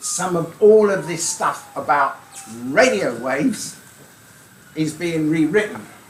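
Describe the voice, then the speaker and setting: A man speaks very slowly in a high voice, with lively intonation and long, frequent pauses. Noticeable background noise runs underneath. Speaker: amateur radio speaker. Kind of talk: club talk. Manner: light-hearted.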